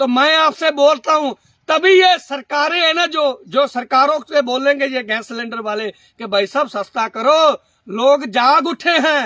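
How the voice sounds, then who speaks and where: A man with a Punjabi accent and an extremely high pitch, raised and projected, bright and sharp in tone, with ordinary pitch variation and a dry, close, echo-free sound. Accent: Punjabi-accented Hindi. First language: Punjabi (speaking Hindi). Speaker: social commentator. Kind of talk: monologue to camera. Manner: animated; halting.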